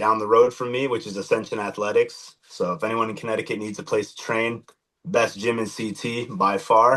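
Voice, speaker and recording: A man speaks at a medium pitch in a bright, sharp tone with fairly even intonation. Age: 20s. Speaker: MMA fighter. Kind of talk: podcast interview. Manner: hesitant, many fillers.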